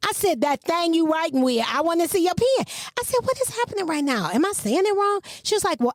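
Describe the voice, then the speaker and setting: Speaking in an animated tone with a slight Southern US accent, a woman swings her pitch very widely, her sound dry and close with no echo. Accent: slightly Southern. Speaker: podcast co-host. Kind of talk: casual chat.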